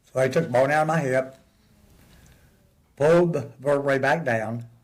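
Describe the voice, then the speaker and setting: Audible room echo surrounds a man speaking with an American accent. His pitch is fairly high and his intonation fairly even. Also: moderate pace. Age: 70s. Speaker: interview guest. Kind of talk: casual chat.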